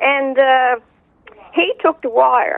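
A woman's high voice in a Newfoundland accent, with very wide pitch swings. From Newfoundland, Bell Island. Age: 60s. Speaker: eyewitness. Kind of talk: casual interview. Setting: phone call.

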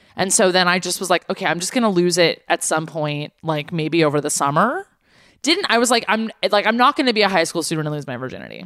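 Speaking very fast with lively intonation, a woman in an American accent has a fairly low pitch. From Los Angeles. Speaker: podcast co-host and musician. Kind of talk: casual chat.

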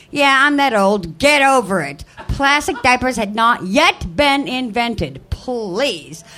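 The speaker has an American accent, a very slow pace and hardly any pauses. Very wide pitch swings are heard over music in the background. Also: woman, high pitch for a woman. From US Midwest. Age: 50s. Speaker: amateur comedian. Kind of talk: stand-up. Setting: stage with audience. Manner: loud.

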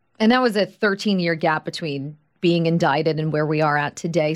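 Heard in a very clean recording with a silent background, a woman with a normal speaking voice, fairly low pitch and an American accent talks at a moderate pace with ordinary pitch variation. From Long Island, New York. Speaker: podcast host. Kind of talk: interview; scripted narration.

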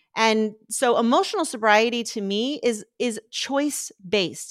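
Lively intonation marks a plain, everyday voice. The recording is very clean and dry, with a silent background, a close sound and no echo. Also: woman. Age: 50s. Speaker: recovery coach. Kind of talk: interview.

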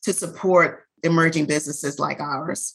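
A woman with an American accent speaks at a fairly low pitch. Her tone is bright and sharp, and her intonation is fairly even. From US South, New Orleans. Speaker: beauty brand founder. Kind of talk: interview.

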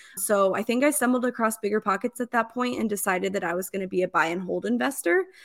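A woman with a plain, everyday voice and an American accent talks at a fairly quick pace with ordinary pitch variation, on a very clean recording with a silent background. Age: 30s. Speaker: real estate investor. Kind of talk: interview.

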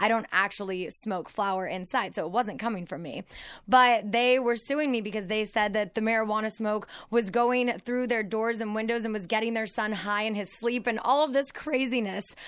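This very clean recording with a silent background features a woman with a fairly high pitch and an unremarkable speaking voice. She talks at a moderate pace with ordinary pitch variation. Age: 30s. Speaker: podcast host. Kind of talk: casual chat.

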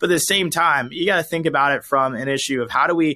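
With an American accent, a man with a fairly high pitch and a bright, sharp tone talks very fast with ordinary pitch variation, in a dry, close sound with no echo over a quiet background. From US South, Georgia. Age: 20s. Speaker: conservative political commentator. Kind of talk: interview.

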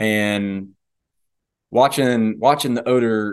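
A medium-pitched man against a quiet background. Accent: Southern US. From US South. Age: 20s. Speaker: police dog handler and hunter. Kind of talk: casual interview.

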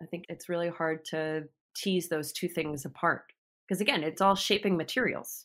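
At a moderate pace and fairly low pitch, a woman talks with ordinary pitch variation in an ordinary speaking voice, recorded very cleanly against a silent background. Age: 40s. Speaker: visual artist and mother. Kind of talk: interview conversation.

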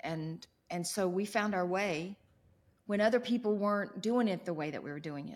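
Speaking at medium pitch and a moderate pace, a woman has an ordinary speaking voice. Her pitch variation is ordinary. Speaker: pastor's wife. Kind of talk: casual chat.

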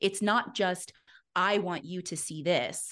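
Over a quiet background comes an ordinary speaking voice with ordinary pitch variation. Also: woman. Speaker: fitness business coach. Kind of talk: casual chat.

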